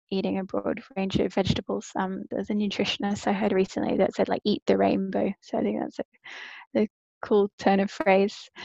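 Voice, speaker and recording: With an Australian accent, a woman talks at a moderate pace. The sound is dry and close, with no echo. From Australia, Brisbane. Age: 30s. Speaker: online coach and personal trainer. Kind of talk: casual interview.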